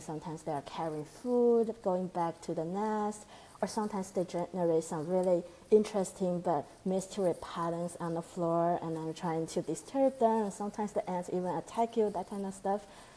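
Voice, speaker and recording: A woman of medium pitch with a Chinese accent and a dark, mellow tone talks at a moderate pace with fairly even intonation. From China. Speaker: postdoctoral researcher. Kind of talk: interview conversation. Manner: halting.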